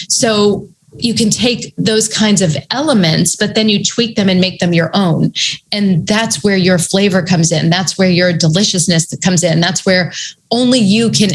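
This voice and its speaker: A woman at a medium pitch and moderate pace, with ordinary pitch variation and an ordinary speaking voice. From New England, US. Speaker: author and writing coach. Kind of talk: casual interview chat.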